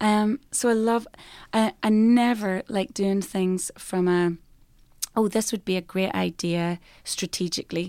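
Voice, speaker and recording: With an Irish accent, a woman of medium pitch speaks at a fairly slow pace in a dark, mellow tone with fairly even intonation, recorded very cleanly over a silent background. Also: dry, close sound with no echo. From Ireland. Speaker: worship singer-songwriter. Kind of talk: casual interview chat. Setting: conference venue interview.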